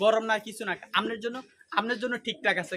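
A man is talking. His voice is raised and projected. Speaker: duck farmer and YouTuber. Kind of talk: farming tutorial.

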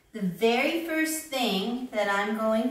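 A woman speaks very slowly, with audible room echo. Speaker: teacher. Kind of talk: tutorial. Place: home room. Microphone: camera far.

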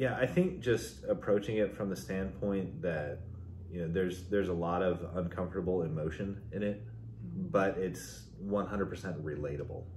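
Amid light background noise, a man with a very deep, low pitch and vocal fry speaks at a moderate pace. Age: 40s. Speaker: music fan; guest. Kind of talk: casual chat. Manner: halting. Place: home room. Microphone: camera far.

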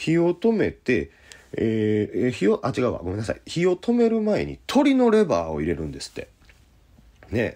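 A man at a moderate pace with big swings in loudness, over a quiet background. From Osaka, Japan. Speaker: jazz pianist. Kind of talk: casual radio-style talk show.

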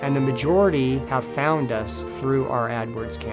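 A man's voice over clear background music. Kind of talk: interview answer. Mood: warm, upbeat. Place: home room.

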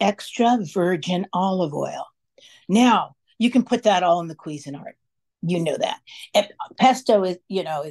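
The background is quiet. What you hear is plain reading aloud.

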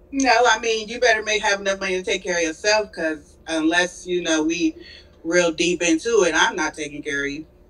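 This woman talks at a fairly quick pace in a fairly low pitch, with ordinary pitch variation. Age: 30s. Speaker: caller. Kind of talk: casual chat. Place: home room. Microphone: video call.

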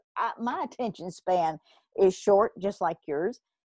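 A woman in a Kentucky accent at a moderate pace, with ordinary pitch variation and a dry, close sound with no echo. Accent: Southern US (Kentucky). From Kentucky, US South. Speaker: podcast host, blogger and entrepreneur. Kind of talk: solo podcast monologue, motivational business advice. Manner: casual, filler-heavy (um, uh); expressive, talks with her hands.

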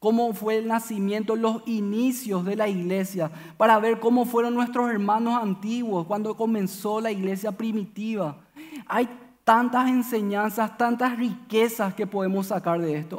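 The speech keeps a moderate pace and fairly even intonation. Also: man, high pitch for a man. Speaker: preacher. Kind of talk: sermon.

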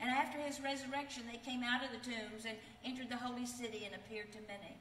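A woman speaks fast at a fairly high pitch, with fairly even intonation and a fairly bright tone. Some room echo can be heard.

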